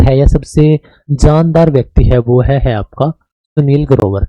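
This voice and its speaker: Dry and close with no echo, the recording captures a man with a dark, mellow tone. His pitch is fairly high. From Haryana, Kaithal. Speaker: teacher. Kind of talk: lecture. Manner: casual, conversational.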